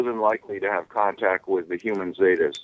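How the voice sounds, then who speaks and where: A man speaks at a moderate pace with ordinary pitch variation. It is a plain, everyday voice. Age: 60s. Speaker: UFO contactee. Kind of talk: casual chat.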